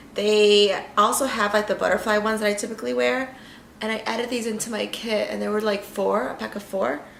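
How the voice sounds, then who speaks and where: Noticeable background noise and audible room echo surround the recording. A woman with a medium pitch speaks at a fairly quick pace. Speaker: makeup vlogger. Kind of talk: tutorial. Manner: casual, filler-heavy.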